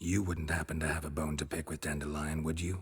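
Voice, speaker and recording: In a growling put-on character voice, the words rush out at a very fast pace with monotone, flat intonation. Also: man, very deep, low pitch for a man. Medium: video game. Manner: terse, gruff, deadpan.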